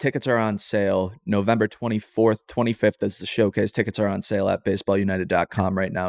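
Here is a man with a normal speaking voice, fairly low and fairly quick. His intonation is fairly even, and the sound is dry and close with no echo. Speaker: podcast host. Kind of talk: casual interview.

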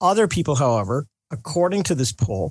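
Somewhat breathy and dark and mellow in tone, a man's voice comes through over a quiet background. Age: 60s. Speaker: pollster, polling company executive. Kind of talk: radio interview.

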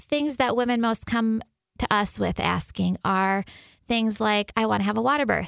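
A woman with an unremarkable speaking voice, fairly high in pitch, keeps her loudness very even and her pitch variation ordinary. The recording is very clean and dry, close with no echo, over a silent background. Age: 40s. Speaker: physician at a birth center. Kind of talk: radio interview.

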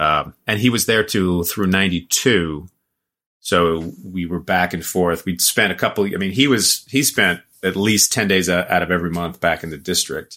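A man with an American accent, a very deep, low pitch, a bright, sharp tone, ordinary pitch variation, and a moderate pace, on a very clean recording with a silent background. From Oregon, US Pacific Northwest. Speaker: actor. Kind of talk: casual chat.

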